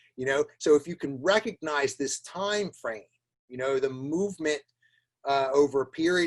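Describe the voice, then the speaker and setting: A man speaks in a normal speaking voice with a fairly high pitch. The sound is dry and close, with no echo. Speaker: plant pathologist. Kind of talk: webinar presentation. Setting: online webinar. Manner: repetitive fillers and restarts.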